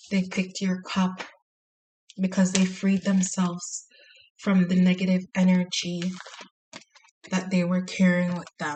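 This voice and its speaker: A woman talks at a fairly slow pace in a monotone, flat intonation, with long, frequent pauses. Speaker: tarot reader. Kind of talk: tarot reading monologue. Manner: quiet, soft-spoken; hesitant with fillers.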